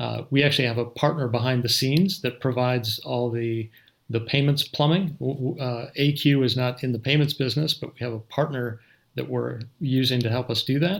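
A man with an American accent has an unremarkable speaking voice, medium pitch and ordinary pitch variation at a fairly quick pace. The recording is very clean, with a silent background. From Minnesota, US. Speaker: company CEO. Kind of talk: interview.

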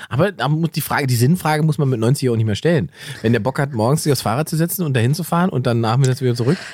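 Very fast, somewhat breathy, animated speech with ordinary pitch variation and very even loudness. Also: man, medium pitch for a man. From eastern Germany, Salzwedel (Saxony-Anhalt). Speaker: comedian and podcast co-host. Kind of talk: casual chat.

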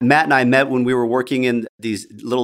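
A man talks at a fairly quick clip with a medium pitch. The recording is very clean, with a silent background. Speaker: podcast host and dental CPA. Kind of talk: casual chat. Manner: animated.

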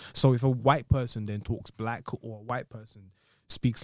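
Speaking with an Essex accent at a moderate pace, a man is heard on a very clean recording with a silent background. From southeast England, Tanzanian heritage. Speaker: podcast co-host. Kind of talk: casual chat.

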